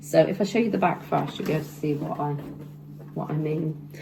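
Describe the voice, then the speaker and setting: A woman speaks over noticeable background noise. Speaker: sewing vlogger. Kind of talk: casual tutorial vlog. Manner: hesitant, many fillers.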